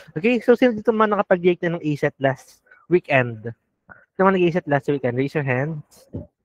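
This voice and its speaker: A man's high-pitched voice at a fairly quick pace, with very wide pitch swings and a dry, close sound with no echo. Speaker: review class teacher. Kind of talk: online class lecture. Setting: video call class. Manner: casual, Taglish code-switching.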